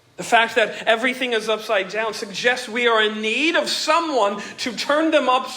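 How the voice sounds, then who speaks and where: A man with an extremely high pitch speaks in a raised, projected voice at a moderate pace with ordinary pitch variation, over noticeable background noise. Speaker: pastor. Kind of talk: sermon.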